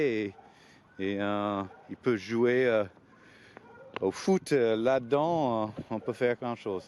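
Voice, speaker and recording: A man speaks at a medium pitch with a non-native accent. His pitch varies in an ordinary way. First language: not French (speaking French). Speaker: skateboard coach. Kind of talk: informal explanatory talk to parents. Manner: hesitant, many fillers and repetitions.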